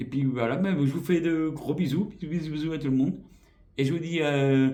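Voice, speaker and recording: This man's dark, mellow voice moves at a moderate pace with ordinary pitch variation. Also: fairly high pitch for a man. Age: 40s. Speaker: YouTuber. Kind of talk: vlog channel introduction. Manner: hesitant, many fillers.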